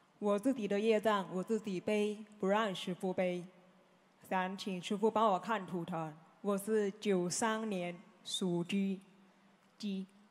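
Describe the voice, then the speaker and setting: A woman speaks at a very slow pace in a flat monotone. Her speech has long, frequent pauses. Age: 20s. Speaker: follower asking questions; audience member. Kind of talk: Q&A with spiritual teacher. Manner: halting. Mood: respectful, earnest. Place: hall. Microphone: handheld.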